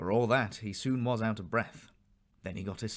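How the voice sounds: This is a natural reading voice. It is heard here reading aloud.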